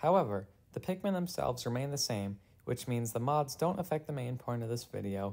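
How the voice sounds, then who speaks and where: Speaking at a fairly quick pace, the voice has a dark, mellow tone and lively intonation. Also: man. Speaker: video game reviewer. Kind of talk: casual commentary narration.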